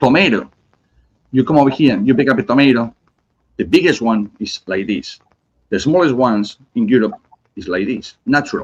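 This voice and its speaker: A man with a Spanish accent uses lively intonation and takes long, frequent pauses. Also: medium pitch for a man, moderate pace. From Spain, Basque Country (Bilbao). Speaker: cigar company representative. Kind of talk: casual chat. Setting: live stream.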